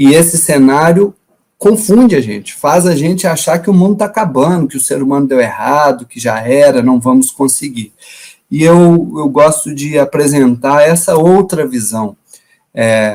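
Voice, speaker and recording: A man speaks with a Minas Gerais accent. His pace is fairly slow. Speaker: environmental education professor. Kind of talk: lecture.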